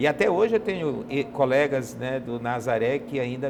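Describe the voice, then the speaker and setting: Speaking at a moderate pace with lively intonation, the voice comes through over noticeable background noise. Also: man. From Brazil, Pará (Belém). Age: 50s. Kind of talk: interview testimony.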